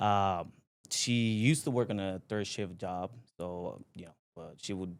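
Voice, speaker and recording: A man with a fairly low voice speaks in a Spanish accent. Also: very clean recording, silent background. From Puerto Rico (Aguas Buenas). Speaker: company president, entrepreneur. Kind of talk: podcast interview. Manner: halting, many fillers.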